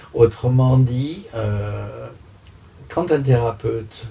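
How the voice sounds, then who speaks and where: Pitched at a medium level, the man speaks with ordinary pitch variation. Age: 60s. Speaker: master coach. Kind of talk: interview answers, explanatory. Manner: hesitant, many filler sounds.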